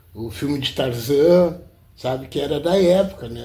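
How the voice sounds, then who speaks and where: At a very slow pace, a dark, mellow voice moves through lively intonation amid audible room echo. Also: man. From southern Brazil, Rio Grande (RS). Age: 60s. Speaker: self-taught artist. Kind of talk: interview. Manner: halting, with many repetitions.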